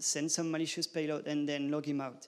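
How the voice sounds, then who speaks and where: A man with a French accent talks at a fairly quick pace in a fairly high pitch. His intonation is monotone and flat, on a very clean recording with a silent background. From France. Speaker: conference speaker. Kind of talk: conference talk. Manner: halting.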